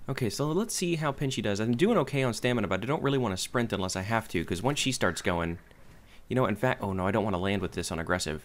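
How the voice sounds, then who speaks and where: A man's lively, very fast speech on a very clean recording with a silent background. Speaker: gaming video creator. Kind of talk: gameplay commentary. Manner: casual, hesitant with fillers.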